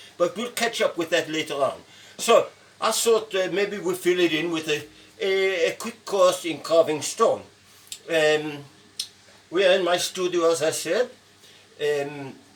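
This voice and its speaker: A man speaks in a high pitch at a fairly slow pace. His pitch varies in an ordinary way, with noticeable background noise behind him. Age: 70s. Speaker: sculptor and painting teacher. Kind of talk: tutorial. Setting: sculpture studio. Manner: halting.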